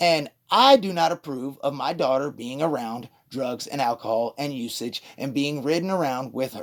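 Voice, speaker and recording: A man is talking at a moderate pace. His pitch is fairly high. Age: 40s. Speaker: father of a patient, caller. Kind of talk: phone call dispute with therapist. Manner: loud.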